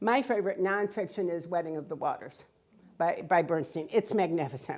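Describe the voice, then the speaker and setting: With an American accent, a woman speaks at a fairly quick pace in an animated tone. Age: 70s. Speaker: author. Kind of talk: public talk. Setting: museum hall with audience.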